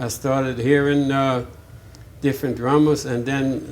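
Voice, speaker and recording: Delivered in a New Orleans accent, the speech moves at a fairly slow pace with monotone, flat intonation and audible room echo. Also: man. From New Orleans, Louisiana (Sixth Ward). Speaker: jazz drummer. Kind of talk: oral history interview. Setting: interview at a music venue. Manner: halting, with frequent fillers and restarts.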